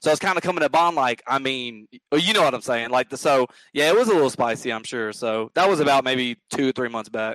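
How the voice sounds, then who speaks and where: In a Southern US accent, a man at medium pitch talks very fast with ordinary pitch variation, the sound dry and close with no echo. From US South, Mississippi near Memphis. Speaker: gaming podcast guest. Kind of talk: casual chat.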